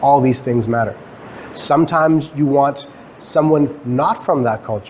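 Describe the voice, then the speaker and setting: A man with a Canadian accent speaks at a fairly high pitch with ordinary pitch variation. Noticeable background noise is present. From Guyana. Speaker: professor. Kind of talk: lecture. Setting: stage with audience. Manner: fast; halting.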